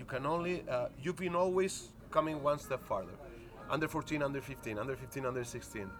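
Speaking at a fairly quick pace with a Spanish accent, a man uses lively intonation. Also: fairly high pitch for a man. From Spain. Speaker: basketball coach. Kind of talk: casual interview chat. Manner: halting, searching for words.

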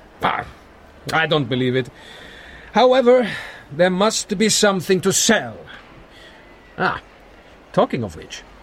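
Growling in a put-on character voice, a man speaks at a fairly slow pace with very wide pitch swings. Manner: snarly charm, laughing.

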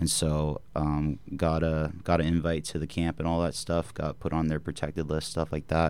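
In a very deep, low pitch, a man talks with monotone, flat intonation. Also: moderate pace, hardly any pauses. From Bakersfield, California. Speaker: former hockey player, guest. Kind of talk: casual interview chat.

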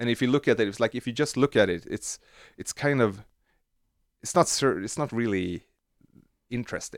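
With a Swedish accent and a medium pitch, a man talks at a fairly quick pace broken by long, frequent pauses, using ordinary pitch variation in a dry, close sound with no echo on a very clean recording with a silent background. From Sweden. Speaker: synth module designer. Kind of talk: casual interview. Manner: halting.

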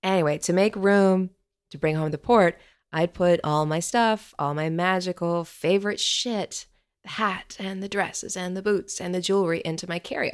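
The recording is very clean, and the background is silent. An unremarkable speaking voice keeps fairly even intonation at a moderate pace. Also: woman, medium pitch for a woman. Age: 40s. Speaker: podcast storyteller. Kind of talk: scripted narration.

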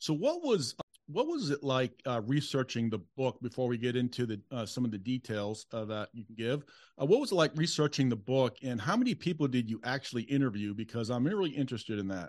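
A man with an American accent has an unremarkable speaking voice at a medium pitch with ordinary pitch variation. He talks at a fairly quick pace over a quiet background. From Boston area. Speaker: podcast host. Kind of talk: interview.

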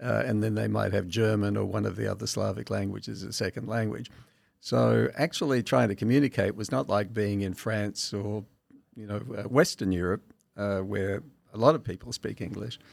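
A man's fairly low voice with an Australian accent. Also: ordinary pitch variation, moderate pace. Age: 70s. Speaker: masters powerlifter. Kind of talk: casual interview.

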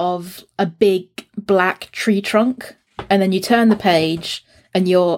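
The quiet background leaves a plain reading aloud.

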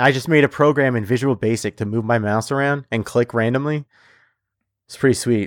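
On a very clean recording with a silent background and a dry, close sound with no echo, a man in a plain, everyday voice speaks at a fairly quick pace and medium pitch, his intonation fairly even but his loudness swinging widely. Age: 30s. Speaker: podcast co-host, designer. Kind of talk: casual chat.

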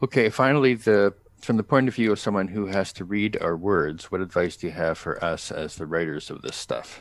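This man has a normal speaking voice, pitched fairly low with ordinary pitch variation, and he talks at a fairly quick pace. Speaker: podcast host. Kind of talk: casual chat.

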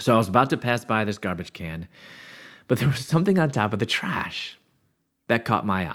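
A man with a Midwestern American accent speaks at a moderate pace and fairly low pitch on a very clean recording with a silent background. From US Midwest, Chicago area. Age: 50s. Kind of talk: testimony.

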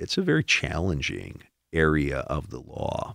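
Using vocal fry, a man with an American accent speaks at a fairly slow pace in a very deep, low voice. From Milwaukee, Wisconsin. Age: 50s. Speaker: judge. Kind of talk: casual interview.

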